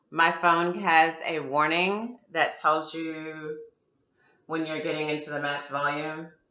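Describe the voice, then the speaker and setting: With audible room echo around her, a woman speaks at a fairly slow pace in a very deep, low voice. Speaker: video blogger. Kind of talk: product unboxing review. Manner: loud; casual, chatty.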